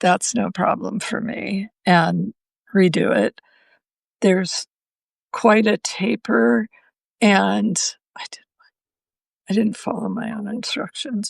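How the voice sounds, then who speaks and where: A woman speaks at a very slow pace with long, frequent pauses. Her loudness swings widely, and the sound is dry and close with no echo. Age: 70s. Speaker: knitting designer and livestream host. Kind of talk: casual live stream show and tell. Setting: live video stream. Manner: chatty, with frequent fillers.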